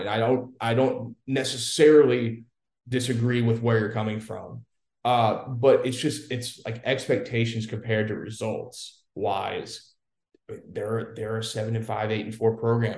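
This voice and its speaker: A man with a medium pitch and a somewhat breathy voice speaks at a moderate pace with fairly even intonation and big swings in loudness. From Louisiana. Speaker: football correspondent, former recruiting staffer. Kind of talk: casual sports chat.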